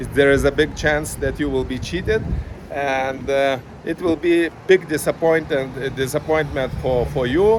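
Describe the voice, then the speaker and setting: Over noticeable background noise, a man with a fairly high voice talks at a moderate pace with ordinary pitch variation. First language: not English. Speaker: chess parent vlogger. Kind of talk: casual vlog monologue. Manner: halting, many fillers.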